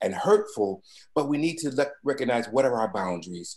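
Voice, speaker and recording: A man's ordinary speaking voice at a medium pitch, with lively intonation. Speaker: webinar speaker on pastoral care. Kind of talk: webinar presentation.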